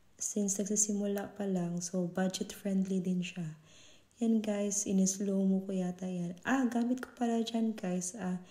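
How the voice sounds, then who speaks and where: At a medium pitch and a fairly slow pace, a woman talks in a monotone, flat way, her tone dark, mellow and somewhat breathy. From Visayas, Philippines. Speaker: vlogger. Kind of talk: product unboxing review. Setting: at home. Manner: casual, code-switching Tagalog and English.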